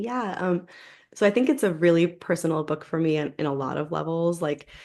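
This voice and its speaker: With an American accent and an unremarkable speaking voice, a woman talks at a fairly quick pace and fairly low pitch, with ordinary pitch variation, against a quiet background. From New York, US. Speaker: novelist. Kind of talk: interview.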